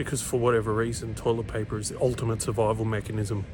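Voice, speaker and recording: Very fast whispering from a man with an Australian accent, with audible room echo and music in the background. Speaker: comedian. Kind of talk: casual vlog.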